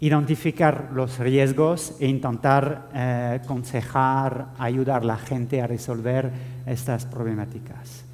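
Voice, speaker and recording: Speaking at a very slow pace in a flat monotone, a man with a medium pitch is heard with audible room echo. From France. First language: French (speaking Spanish). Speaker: IT security officer. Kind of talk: conference talk. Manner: halting, many fillers.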